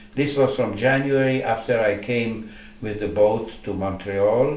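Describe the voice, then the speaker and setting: There is noticeable background noise and audible room echo as a man speaks fairly slowly with ordinary pitch variation. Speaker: Holocaust survivor. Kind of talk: oral history interview. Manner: halting, many repetitions.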